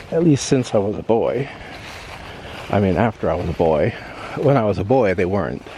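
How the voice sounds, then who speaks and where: Over noticeable background noise, a man with an American accent talks at a fairly quick pace, with very wide pitch swings and long, frequent pauses. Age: 60s. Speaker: vlogger. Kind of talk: casual walking vlog narration. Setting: outdoors. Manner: halting.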